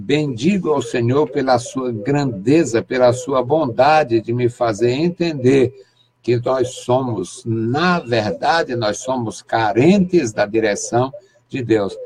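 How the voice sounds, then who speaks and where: Speaking at a very slow pace, a man uses a medium-pitched, somewhat breathy voice with ordinary pitch variation. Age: 60s. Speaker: pastor. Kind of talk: sermon.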